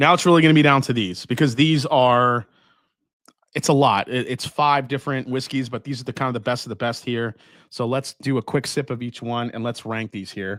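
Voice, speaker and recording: A man with a Long Island accent, medium pitch, a fairly quick pace and ordinary pitch variation. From Long Island, New York. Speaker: whiskey livestream host. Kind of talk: casual live tasting chat. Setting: livestream from home whiskey room. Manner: animated.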